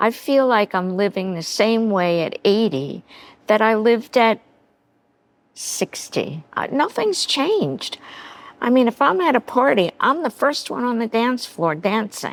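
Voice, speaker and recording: At a fairly slow pace, a woman speaks with very wide pitch swings. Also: fairly high pitch for a woman. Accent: American. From New York City. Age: 80s+. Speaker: makeover guest. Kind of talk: casual chat. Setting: studio. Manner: animated.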